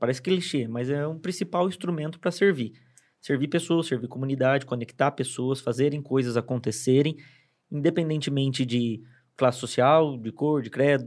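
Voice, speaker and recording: A man's fairly high voice, an ordinary speaking voice at a moderate pace with ordinary pitch variation. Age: 30s. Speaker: city councillor and advertising professional. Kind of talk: casual chat. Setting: studio.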